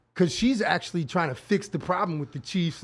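Pitched high, a man talks at a fairly quick pace with a strong New York accent. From Brooklyn, New York. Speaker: producer. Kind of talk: casual chat. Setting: live video show.

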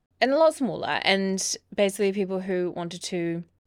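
This is a woman speaking. She has an Australian accent. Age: 20s. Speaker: podcast co-host. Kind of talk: casual chat.

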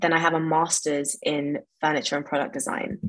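The speaker is a woman. She talks with a London accent. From West London. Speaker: furniture designer. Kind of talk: interview.

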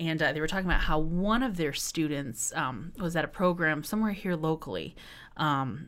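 A woman with an American accent, a normal speaking voice, fairly low pitch, ordinary pitch variation and a moderate pace. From West Michigan. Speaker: arts center managing director. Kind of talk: casual interview chat.

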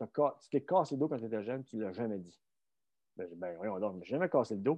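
A man speaks in a Quebec accent. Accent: Québécois French. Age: 50s. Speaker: strength coach and former Olympic luger. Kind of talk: casual interview. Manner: halting, repeats words.

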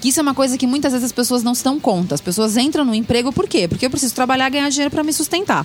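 A woman speaks very fast in a high voice. Background noise is noticeable. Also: lively intonation, hardly any pauses. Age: 40s. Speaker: podcast co-host. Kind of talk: casual chat.

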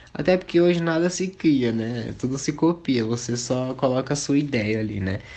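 A man speaks at a medium pitch and moderate pace in a plain, everyday voice. His pitch variation is ordinary. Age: 20s. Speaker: singer and dancer. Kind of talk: casual chat.

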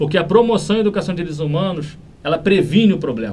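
Vocal fry runs through a man's lively intonation as he talks at a fairly quick pace. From Brazil, Niterói (Rio de Janeiro state). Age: 30s. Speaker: municipal human rights secretary, lawyer. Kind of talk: interview.

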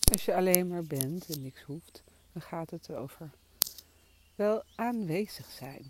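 Long, frequent pauses break up the very slow speech. Noticeable background noise runs underneath. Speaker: meditation teacher. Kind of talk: guided meditation. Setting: outdoors. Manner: soft-spoken. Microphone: crackling interference.

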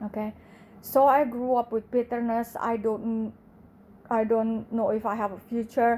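A woman with an Indonesian accent speaks at a fairly slow pace, her fairly high pitch and dark, mellow tone held in monotone, flat intonation. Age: 40s. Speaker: podcaster. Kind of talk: testimony. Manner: halting.

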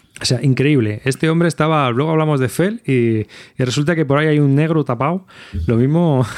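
An ordinary speaking voice from a man, fairly high in pitch, with ordinary pitch variation and a fairly quick pace over a quiet background. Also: very even loudness. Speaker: podcast host. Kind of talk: casual chat. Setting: video call.

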